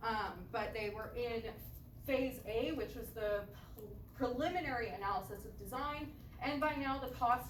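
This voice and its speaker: A woman's high voice at a moderate pace with ordinary pitch variation, in audible room echo with noticeable background noise. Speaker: student giving seminar talk. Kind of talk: seminar presentation.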